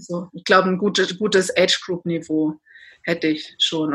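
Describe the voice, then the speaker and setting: A woman's normal speaking voice, medium in pitch, with fairly even intonation at a fairly quick pace. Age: 30s. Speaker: endurance athlete. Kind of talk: interview.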